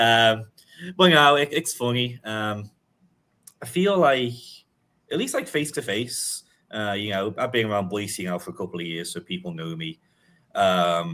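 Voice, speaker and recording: A man with a Liverpool accent, bright and sharp in tone, at medium pitch and moderate pace, with very wide pitch swings. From England, Liverpool. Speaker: sports journalist. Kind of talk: casual chat. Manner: frequent fillers and hesitations.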